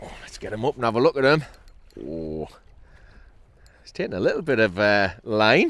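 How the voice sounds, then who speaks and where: A man at medium pitch, with very wide pitch swings, big swings in loudness, and long, frequent pauses. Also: moderate pace. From northeast England (Newcastle area). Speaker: kayak angler, fishing vlogger. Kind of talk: casual outdoor vlog commentary. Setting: outdoors on a kayak at sea. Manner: animated.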